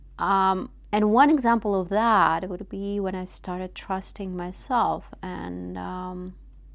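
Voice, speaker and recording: A woman with a non-native accent speaks very slowly in a medium pitch, her intonation fairly even. She leaves hardly any pauses, and her loudness swings widely. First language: not English. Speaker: vlogger. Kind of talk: personal reflection monologue. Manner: halting, many fillers.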